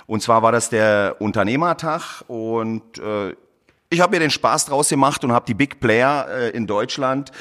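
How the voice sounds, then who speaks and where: A man's normal speaking voice at a medium pitch, with ordinary pitch variation and a moderate pace. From Berlin, Germany. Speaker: plumber and heating installer. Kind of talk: interview. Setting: studio.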